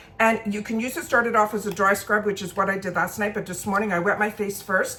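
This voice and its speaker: Fairly quick speech from a woman at medium pitch, with noticeable background noise. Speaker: beauty and makeup vlogger. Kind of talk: casual get-ready-with-me product review. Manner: fast.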